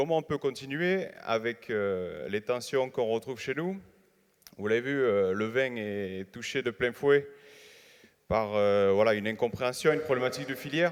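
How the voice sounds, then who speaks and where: Someone with a southern French accent speaks at a fairly slow pace with ordinary pitch variation on a very clean recording with a silent background. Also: man, medium pitch for a man. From southern France, Hérault. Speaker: winegrower, young farmers' union leader. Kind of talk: audience question at panel. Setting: congress hall with audience.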